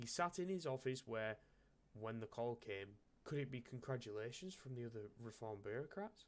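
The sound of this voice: Here is an unforced reading voice. Its intonation is lively.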